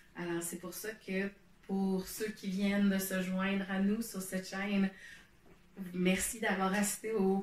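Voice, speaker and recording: A woman with a Quebec accent at medium pitch, very slow and flat in intonation, with long, frequent pauses. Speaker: knitting podcaster and meditation guide. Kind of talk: casual explanatory talk to camera. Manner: hesitant, many fillers. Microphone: poor home recording setup.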